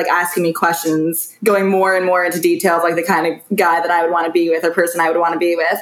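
The speech races along at a very fast pace in a flat, monotone way. Noticeable background noise sits behind it. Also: woman. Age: 20s. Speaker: reality TV contestant. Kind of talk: casual chat.

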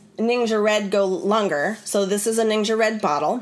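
Over noticeable background noise, a woman speaks at a moderate pace in an animated tone with a fairly high pitch. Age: 40s. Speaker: wellness educator and podcast host. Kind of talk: live online class.

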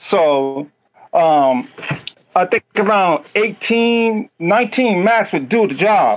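A man with a New York accent speaks very slowly in a high voice, his intonation lively. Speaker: caller. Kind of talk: call-in discussion. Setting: remote call, breaking up. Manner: halting.

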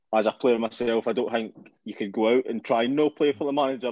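With a Scottish accent, a man speaks fairly quickly at a medium pitch and with fairly even intonation. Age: 20s. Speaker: football podcast co-host. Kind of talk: casual chat.

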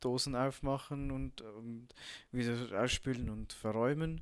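In a very clean recording with a silent background, a man at a medium pitch speaks at a fairly slow pace. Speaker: podcaster, army cook. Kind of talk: casual monologue. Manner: halting, many fillers.

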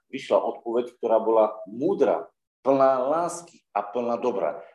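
This is a man speaking. His pace is moderate. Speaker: preacher. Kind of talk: sermon. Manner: loud.

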